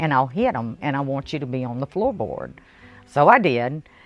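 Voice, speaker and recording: In a dry, close sound with no echo and a quiet background, a woman with an American accent speaks at a very deep, low pitch that makes very wide swings. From New Orleans, Louisiana. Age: 60s. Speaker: widow sharing life story. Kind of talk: interview, personal testimony. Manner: halting, with fillers and repeats.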